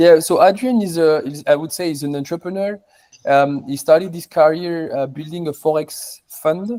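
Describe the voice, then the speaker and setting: A man's high voice with a French accent, a dark, mellow tone, ordinary pitch variation and big swings in loudness. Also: moderate pace. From southern France. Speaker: crypto mining company co-founder. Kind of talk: interview. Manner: halting, many repetitions and fillers.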